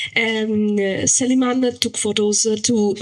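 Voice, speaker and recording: Against noticeable background noise, a woman with a non-native accent speaks at medium pitch in a monotone, flat way. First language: not English. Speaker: audience member. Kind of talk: audience question. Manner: halting.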